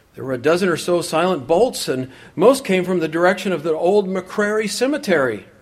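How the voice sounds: Pitch variation stays ordinary in this natural reading voice.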